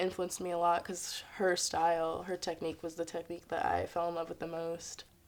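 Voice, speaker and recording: A woman talks with an American accent at a fairly low pitch. Her intonation is monotone and flat. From Harlem, New York, US. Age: 20s. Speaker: dancer and choreographer. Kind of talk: interview monologue. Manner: casual with frequent fillers.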